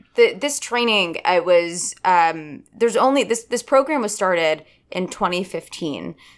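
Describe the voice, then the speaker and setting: On a very clean recording with a silent background, a woman in a normal speaking voice talks at a medium pitch and fairly slow pace with lively intonation. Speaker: actor and voice coach. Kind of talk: interview.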